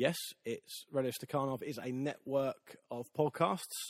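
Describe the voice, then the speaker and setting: The man speaks with an English accent at a medium pitch. The sound is dry and close, with no echo. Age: 30s. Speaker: football podcast host. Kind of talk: casual interview. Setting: studio.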